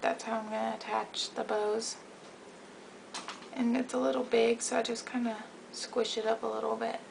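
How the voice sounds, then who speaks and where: Soft-spoken and at a moderate pace, a woman leaves long, frequent pauses amid noticeable background noise. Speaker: craft video maker. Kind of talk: tutorial. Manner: casual.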